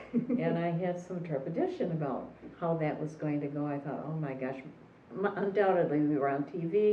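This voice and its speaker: Amid noticeable background noise and audible room echo, a woman with a very deep, low pitch talks at a fairly quick pace with ordinary pitch variation. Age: 70s. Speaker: retired therapist. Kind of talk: personal testimony.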